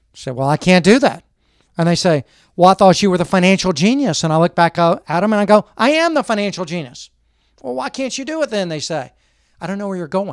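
A man at a high pitch, animated in tone with lively intonation, very fast yet with long, frequent pauses, on a very clean, dry, close recording with no echo and a silent background. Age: 50s. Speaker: financial advisor. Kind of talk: interview.

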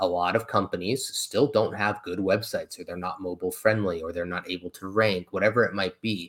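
A man talking at a fairly quick pace, on a very clean recording with a silent background. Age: 30s. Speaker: online entrepreneur. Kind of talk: interview.

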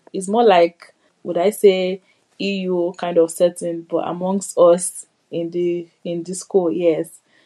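In a monotone, flat delivery, a woman with a fairly low pitch speaks at a very slow pace. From Nigeria. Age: 20s. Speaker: medical student. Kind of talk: interview testimony.

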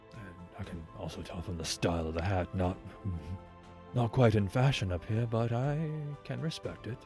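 Putting on a character voice, a man speaks in a fairly low pitch at a moderate pace, with long, frequent pauses. Clear music plays in the background. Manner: calm, measured, coolly polite.

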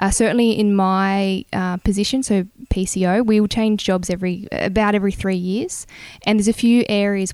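Talking at a fairly quick pace with an Australian accent, a woman keeps a medium pitch and fairly even intonation. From New South Wales, Australia (Bungendore, near Canberra). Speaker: air force officer. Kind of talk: interview. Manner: hesitant with many fillers.

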